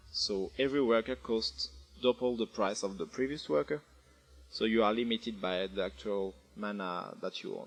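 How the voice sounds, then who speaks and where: A man with a French accent, lively intonation and music in the background. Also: medium pitch for a man, moderate pace. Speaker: game developer. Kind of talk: video game tutorial narration. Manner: casual, hesitant.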